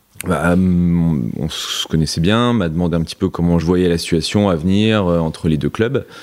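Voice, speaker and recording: With ordinary pitch variation, a man's voice sits very deep and low. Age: 30s. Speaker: tennis coach. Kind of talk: interview.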